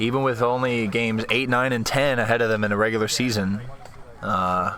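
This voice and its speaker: Heard over noticeable background noise and audible room echo, a man speaks at a medium pitch and a fairly quick pace, with fairly even intonation and very even loudness. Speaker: amateur hockey play-by-play commentator. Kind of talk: live commentary. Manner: picking up a stutter.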